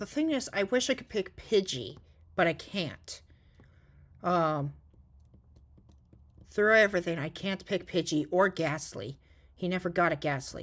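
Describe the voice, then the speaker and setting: Soft-spoken and fairly low in pitch, a woman talks at a fairly slow pace with lively intonation. Her speech has long, frequent pauses. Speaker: gaming YouTuber. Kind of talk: gameplay commentary. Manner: halting.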